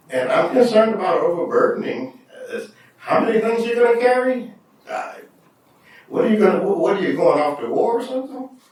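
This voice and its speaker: Long, frequent pauses break up the speech, with noticeable background noise and audible room echo. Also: man. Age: 60s. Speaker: school board trustee. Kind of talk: public meeting discussion. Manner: halting.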